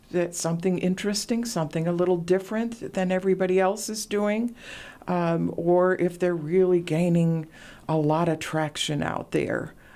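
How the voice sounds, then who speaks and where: Her pitch medium and its variation ordinary, a woman speaks at a moderate pace. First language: Latvian. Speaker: radio host. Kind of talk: interview.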